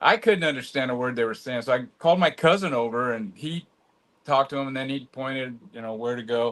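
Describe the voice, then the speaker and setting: A man speaks in a normal speaking voice at a medium pitch and a fairly quick pace, with ordinary pitch variation. His loudness swings widely, and the background is quiet. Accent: American. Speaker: vinyl collector. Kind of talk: casual chat.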